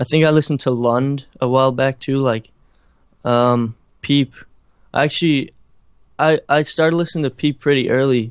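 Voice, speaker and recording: At a moderate pace and with a slight Irish accent, the speaker keeps very even loudness and fairly even intonation, broken by long, frequent pauses. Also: man, fairly high pitch for a man. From Ireland. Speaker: musician and producer. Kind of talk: interview. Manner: casual, halting with many fillers.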